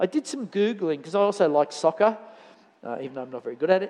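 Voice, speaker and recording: With an Australian accent, a man speaks at high pitch. His pitch swings very widely. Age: 60s. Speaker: church elder preaching. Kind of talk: sermon. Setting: church with congregation. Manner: halting, many fillers and repeats.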